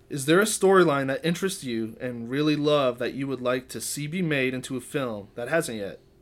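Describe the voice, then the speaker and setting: A man's normal speaking voice, fairly high in pitch and at a fairly quick pace, on a very clean recording with a silent background. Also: lively intonation, hardly any pauses. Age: 30s. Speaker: musician and composer. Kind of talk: casual chat.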